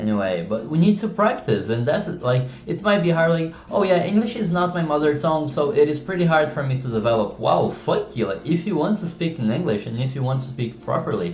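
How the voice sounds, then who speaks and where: With audible room echo and noticeable background noise, a man speaks at a fairly quick pace with hardly any pauses, his fairly high pitch swinging very widely. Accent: non-native. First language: not English. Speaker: YouTuber giving speaking tips. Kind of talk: casual tutorial monologue. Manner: halting, self-correcting.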